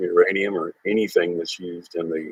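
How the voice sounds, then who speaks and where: A man talks at a moderate tempo, and the sound is dry and close with no echo. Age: 60s. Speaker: Air Force veteran recounting UFO sighting. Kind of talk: interview testimony. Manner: hesitant, many filler uhs.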